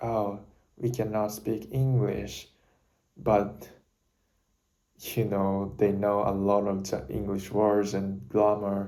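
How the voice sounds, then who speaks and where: At a very slow pace, a man with a Japanese accent speaks in a dark, mellow tone and a fairly low pitch, with long, frequent pauses and audible room echo. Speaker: university student vlogger. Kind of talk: casual talk to camera. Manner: halting, self-correcting.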